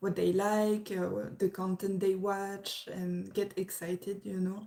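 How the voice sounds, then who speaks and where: In a French accent, a woman speaks at a fairly slow pace and medium pitch, with a dark, mellow tone and monotone, flat intonation. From France. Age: 20s. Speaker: YouTube reactor. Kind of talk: livestream chat. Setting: livestream at parents' house. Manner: halting.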